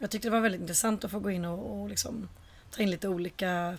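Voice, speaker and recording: Somewhat breathy, a woman speaks at a very fast pace. Her pitch is medium and her intonation fairly even. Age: 30s. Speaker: podcast co-host. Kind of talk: casual chat. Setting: in a flat with balcony door open.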